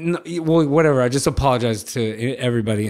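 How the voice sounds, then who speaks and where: On a very clean recording with a silent background, a man with an American accent talks very fast with ordinary pitch variation. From Los Angeles, California. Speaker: professional skateboarder. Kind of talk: casual storytelling. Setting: studio. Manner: animated.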